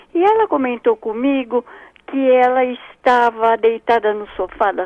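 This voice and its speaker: A woman talks in a high pitch. Her pace is fairly slow. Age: 80s+. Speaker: caller. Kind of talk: phone-in question. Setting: phone call.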